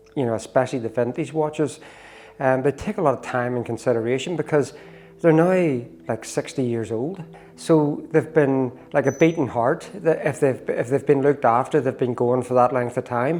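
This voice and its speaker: A man with a Northern Irish accent, ordinary pitch variation, and noticeable background noise. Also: medium pitch for a man, moderate pace. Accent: Northern Irish (Belfast). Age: 60s. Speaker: watchmaker and amateur cyclist. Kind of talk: interview.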